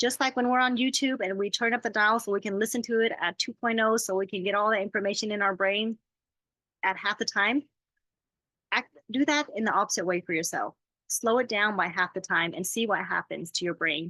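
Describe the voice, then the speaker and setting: In a dry, close sound with no echo, a woman speaks at medium pitch with a bright, sharp tone and ordinary pitch variation. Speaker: life coach. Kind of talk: talk to an audience on self-care. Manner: fast.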